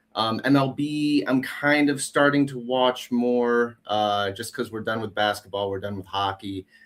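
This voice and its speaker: With a Wisconsin accent, a man of medium pitch talks at a fairly slow pace with ordinary pitch variation and hardly any pauses. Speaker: returning guest, amateur hockey player. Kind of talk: casual chat. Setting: online stream.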